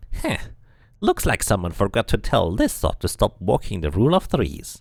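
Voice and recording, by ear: Vocal fry runs through a put-on character voice. The pitch swings very widely at a moderate pace. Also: man, fairly low pitch for a man.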